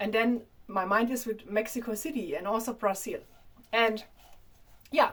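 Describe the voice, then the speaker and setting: A woman with a strong German accent, fairly high in pitch with ordinary pitch variation, taking long, frequent pauses. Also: moderate pace. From Germany. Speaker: vlogger. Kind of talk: casual monologue to camera. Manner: halting.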